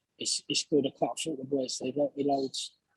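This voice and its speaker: In a London accent, a man talks with a fairly high pitch and monotone, flat intonation, the sound dry and close with no echo. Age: 20s. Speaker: professional boxer. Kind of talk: interview.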